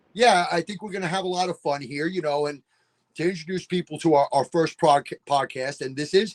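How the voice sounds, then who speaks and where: With a New York accent, a man speaks at a high pitch and a fairly quick pace. His ordinary pitch variation comes through a dry, close sound with no echo. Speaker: sports podcast host, former football coach. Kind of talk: casual chat.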